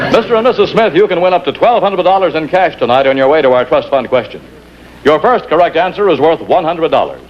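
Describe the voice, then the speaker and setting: Very fast and with very even loudness, a man with a high pitch speaks in lively intonation over noticeable background noise. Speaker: announcer. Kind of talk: TV commercial announcer read.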